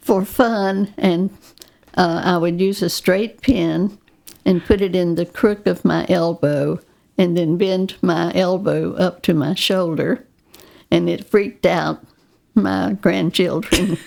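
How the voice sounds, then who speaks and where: A woman's fairly low-pitched voice with vocal fry, very slow pace and ordinary pitch variation. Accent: Southern US. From US South, North Carolina. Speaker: retired nurse. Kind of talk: casual chat.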